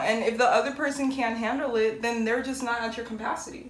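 Audible room echo surrounds a woman speaking at a fairly quick pace. Her voice is fairly high, with fairly even intonation. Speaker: podcast co-host. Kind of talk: casual chat. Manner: firm, assertive delivery.

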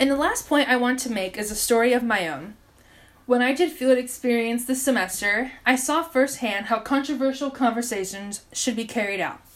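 A woman with an American accent speaks at a moderate pace in a high pitch with lively intonation. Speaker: podcast host and education student. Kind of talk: solo podcast monologue.

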